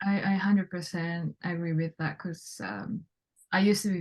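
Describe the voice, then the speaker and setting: Against a quiet background, a woman speaks at a medium pitch. Her voice is somewhat breathy, with ordinary pitch variation. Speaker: self-connection coach. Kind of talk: casual interview chat.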